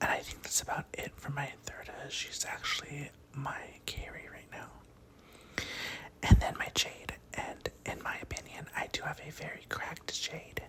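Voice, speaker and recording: Someone is whispering, with long, frequent pauses. Noticeable background noise runs underneath. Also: moderate pace. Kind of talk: ASMR gaming talk. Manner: soft-spoken.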